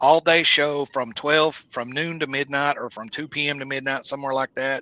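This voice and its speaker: In a Southern US accent, a man with a fairly high pitch and a bright, sharp tone speaks in a dry, close sound with no echo against a quiet background. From US South. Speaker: musician and local show promoter. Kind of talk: casual podcast interview.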